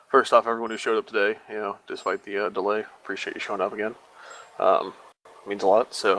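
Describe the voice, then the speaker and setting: Speaking at a very fast pace, a man leaves long, frequent pauses. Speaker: gaming clan leader. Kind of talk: group voice chat meeting. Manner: casual, hesitant with many fillers.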